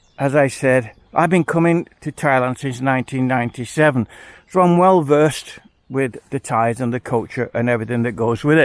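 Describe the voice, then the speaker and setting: A man speaks with an English accent at a medium pitch and with ordinary pitch variation. His fairly quick delivery has a dry, close sound with no echo. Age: 70s. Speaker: retired expat vlogger. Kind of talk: casual vlog monologue. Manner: animated.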